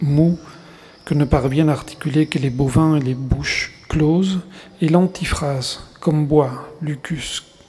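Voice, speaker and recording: In a Spanish accent, the speaker goes at a very slow pace with fairly even intonation and long, frequent pauses over noticeable background noise. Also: man. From Argentina, Buenos Aires. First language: Spanish (speaking French). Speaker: writer. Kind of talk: reading aloud. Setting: stage with audience.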